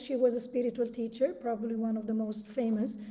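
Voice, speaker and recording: A woman talks in a fairly high pitch with an Italian accent and fairly even intonation. Noticeable background noise sits behind her. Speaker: breathwork coach. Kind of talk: guided meditation talk. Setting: live video stream.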